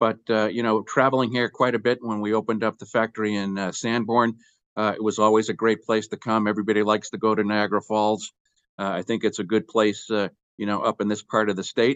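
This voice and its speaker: Speaking very fast, a man delivers his words in a monotone, flat intonation. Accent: American. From Boston, US Northeast. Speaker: company executive. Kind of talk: interview.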